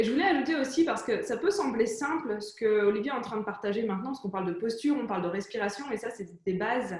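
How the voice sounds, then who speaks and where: With audible room echo, the speaker races along at a very fast pace, with lively intonation and hardly any pauses. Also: woman, fairly high pitch for a woman. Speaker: entrepreneur interview host. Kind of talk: conversational interview.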